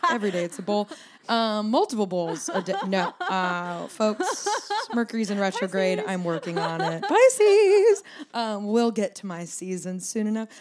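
A woman's medium-pitched voice in an animated tone, moderate pace, noticeable background noise. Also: ordinary pitch variation. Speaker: podcast host. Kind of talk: casual chat. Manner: animated, joking.

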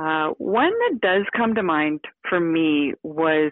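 A woman speaks with a western Canadian accent, her very deep, low voice carried by lively intonation. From Victoria, British Columbia, Canada. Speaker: hunter, TV co-host. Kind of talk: casual interview chat.

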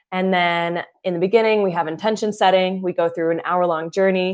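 A woman with a plain, everyday voice speaks at a medium pitch and a fairly quick pace, with fairly even intonation. The recording is very clean, with a silent background. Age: 20s. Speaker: breathwork coach. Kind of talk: interview.

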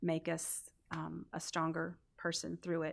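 Vocal fry comes through on a very clean recording with a silent background. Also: woman. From North Carolina (raised from about age 12, earlier West Virginia). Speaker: church member, mother. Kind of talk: interview testimony.

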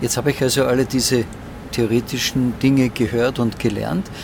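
Against noticeable background noise, a man speaks at a medium pitch and a moderate pace. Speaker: podcast host. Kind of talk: interview. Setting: flight simulator.

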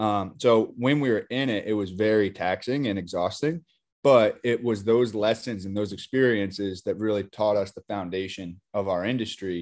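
In a quiet background, a man speaks at a moderate pace in a fairly low pitch, with ordinary pitch variation. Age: 20s. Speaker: beverage company CEO. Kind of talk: interview.

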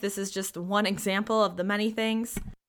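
Animated and bright with a sharp tone, a woman with a fairly high pitch speaks at a moderate pace in a very clean recording with a silent background. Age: 30s. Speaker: podcast host. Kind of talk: personal monologue.

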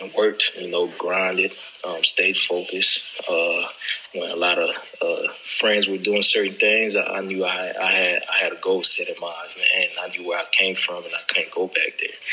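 A man talks at a moderate pace while noticeable background noise sits behind his voice. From Haiti, moved to Orlando at 11. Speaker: professional football player. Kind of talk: casual chat.

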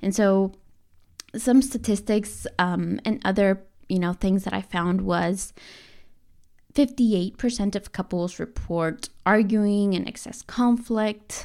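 A woman speaks at medium pitch and a very slow pace with fairly even intonation and a dark, mellow tone. The recording is very clean, with a silent background. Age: 30s. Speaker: nutrition coach and podcast host. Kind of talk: solo podcast monologue. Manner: casual and chatty.

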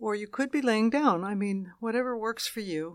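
Heard on a very clean recording with a silent background, a woman of medium pitch has an ordinary speaking voice. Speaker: meditation guide. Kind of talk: guided meditation. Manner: slow, soothing, calm; gentle, unhurried, with long pauses.

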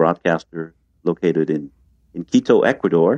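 A man with a French accent speaks at a fairly quick pace in a very deep, low pitch. The sound is dry and close, with no echo. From France, Paris. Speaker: retreat center founder. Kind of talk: interview. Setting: video call.

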